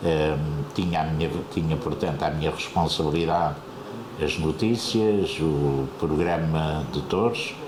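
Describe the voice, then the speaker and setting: At a fairly slow pace, a man with a very deep, low pitch speaks at very even loudness, with audible room echo and noticeable background noise. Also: ordinary pitch variation. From Azores, Terceira island. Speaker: retired radio broadcaster. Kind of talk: interview. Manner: hesitant, many fillers.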